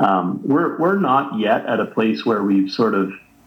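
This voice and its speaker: A man with a Western Canadian accent. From Canada, Alberta (Jasper). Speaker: ski instructor, association co-founder. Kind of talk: interview.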